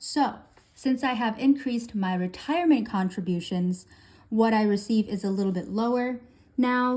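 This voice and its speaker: A woman's somewhat breathy, dark, mellow voice, fairly high in pitch with ordinary variation, at a fairly slow pace on a very clean recording with a silent background. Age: 20s. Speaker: budgeting YouTuber. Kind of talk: casual tutorial.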